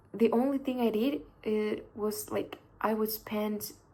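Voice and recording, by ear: At a fairly slow pace, a woman talks in a slightly mellow tone, with audible room echo.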